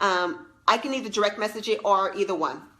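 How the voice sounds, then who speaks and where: Noticeable background noise sits behind a woman speaking at a medium pitch. She moves at a fairly quick pace with lively intonation. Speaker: leadership coach and former teacher. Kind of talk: live stream talk to viewers. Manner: animated.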